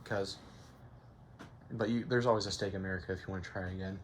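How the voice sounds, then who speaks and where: A man's somewhat breathy voice with monotone, flat intonation. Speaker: gaming guide creator. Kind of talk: casual game walkthrough commentary. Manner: casual, hesitant.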